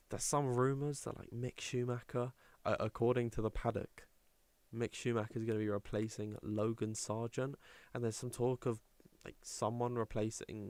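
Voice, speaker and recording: A man's medium-pitched voice with an English accent, monotone, flat intonation and a moderate pace, in a dry, close sound with no echo. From England. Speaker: sim racing stream commentator. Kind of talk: live commentary. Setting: livestream. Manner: casual, chatty.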